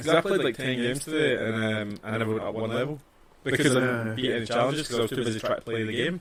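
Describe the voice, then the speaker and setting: A man with a Scottish accent talks at a very fast pace and ordinary pitch variation, with noticeable background noise. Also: medium pitch for a man. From Scotland. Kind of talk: casual podcast conversation.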